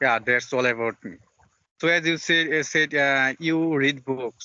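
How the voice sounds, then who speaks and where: Speaking with a Bengali accent, a man uses a medium-pitched, bright and sharp voice with fairly even intonation. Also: dry, close sound with no echo. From Bangladesh. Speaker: English learner, channel host. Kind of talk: casual chat. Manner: halting.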